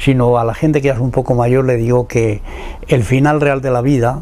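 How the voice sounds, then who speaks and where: A man at medium pitch, fairly quick pace, with noticeable background noise. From Spain, Salamanca then Madrid. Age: 90s. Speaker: poet and former political prisoner. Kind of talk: interview testimony. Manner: halting, with repetitions.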